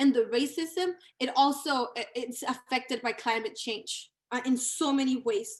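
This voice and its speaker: Speaking with a Spanish accent, a woman with a high pitch talks at a fairly slow pace. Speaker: community organizer. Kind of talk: panel talk. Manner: halting, many fillers.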